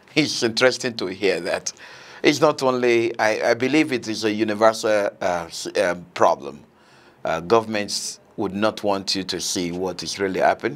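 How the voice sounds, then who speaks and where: Using an unremarkable speaking voice, a man with a fairly low pitch speaks at a moderate pace with lively intonation. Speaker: TV host. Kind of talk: interview. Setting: studio. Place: studio. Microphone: lapel.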